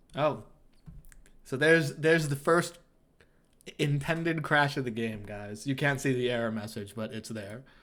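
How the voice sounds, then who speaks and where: Long, frequent pauses break up a man's speech. His tone is animated, with ordinary pitch variation. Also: moderate pace. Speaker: game developer streamer. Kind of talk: live gameplay stream. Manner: casual and animated.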